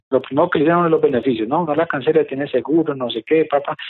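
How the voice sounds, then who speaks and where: Speaking at a very fast pace, a man uses a fairly high pitch. His pitch variation is ordinary. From Colombia. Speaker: real estate investor and course teacher. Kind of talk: interview. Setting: office, remote.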